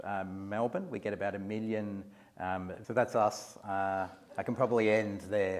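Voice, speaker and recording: Over a very clean recording with a silent background, a man with an Australian accent speaks at a moderate pace and fairly low pitch. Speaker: museum executive. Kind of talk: lecture. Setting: lecture hall with audience. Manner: halting, many fillers and repeats.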